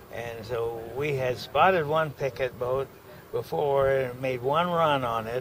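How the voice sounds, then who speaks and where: Very slow speech over noticeable background noise. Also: man. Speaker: war veteran. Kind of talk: oral history recollection. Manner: halting, hesitant.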